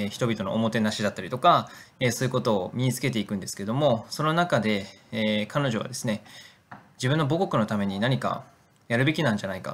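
The delivery comes at a very fast pace. The pitch varies in an ordinary way. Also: man, medium pitch for a man. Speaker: nonprofit director. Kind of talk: video narration. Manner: hesitant with fillers.

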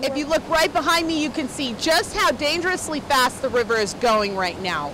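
In an American accent, a woman with a raised, projected voice speaks at a moderate pace with very wide pitch swings, the sound dry with no echo despite noticeable background noise. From United States. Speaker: TV news reporter. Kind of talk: TV news report. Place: waterside. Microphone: handheld.

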